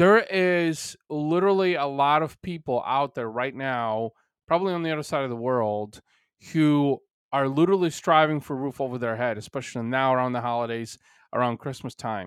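On a very clean recording with a silent background, a man with a Bulgarian accent talks at a moderate pace with a fairly high pitch and ordinary pitch variation. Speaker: podcast host and business owner. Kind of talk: solo podcast monologue. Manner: many filler words.

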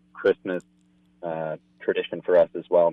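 A man speaks at a moderate pace. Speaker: hunting association director. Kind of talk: casual interview chat.

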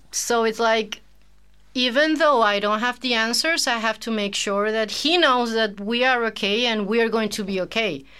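A woman with a Spanish accent, her voice fairly high-pitched with ordinary pitch variation, at a moderate pace, in a very clean recording with a silent background. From Venezuela, Caracas. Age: 40s. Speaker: teacher and translator, single mother. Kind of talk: casual interview.

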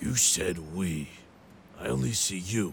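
Over clear background noise, a man puts on a raspy character voice with a very deep, low pitch and a fairly slow pace. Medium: audio drama. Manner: measured, serious.

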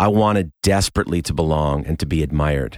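In a very clean recording with a silent background and a dry, close sound with no echo, a man with an American accent uses lively intonation. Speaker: musician and podcast narrator. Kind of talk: scripted narration.

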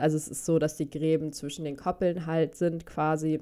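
A woman with a normal speaking voice, fairly low-pitched, in a very clean recording with a silent background. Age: 20s. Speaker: dog behaviour consultant in training. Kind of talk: casual chat.

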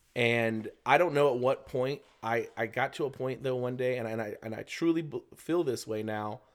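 A man with an ordinary speaking voice and an American accent, pitched in the medium range. His pitch varies in an ordinary way, at a moderate pace. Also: very clean recording, silent background. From Florida, US South. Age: 30s. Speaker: teacher. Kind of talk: casual chat.

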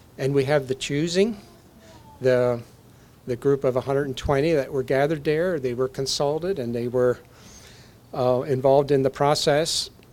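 Here a man speaks at a fairly high pitch. His pace is moderate and his pitch variation ordinary. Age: 60s. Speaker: bishop / visiting preacher. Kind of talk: sermon. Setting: church. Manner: halting, many fillers.

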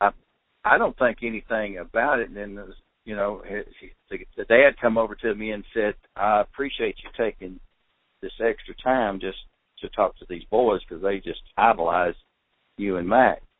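A man speaks at a medium pitch, leaving long, frequent pauses. His loudness swings widely. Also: moderate pace. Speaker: outdoor TV show producer. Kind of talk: interview. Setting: phone call.

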